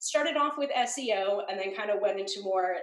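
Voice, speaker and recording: Here a woman speaks in an animated tone. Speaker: web design educator. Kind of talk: interview. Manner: fast.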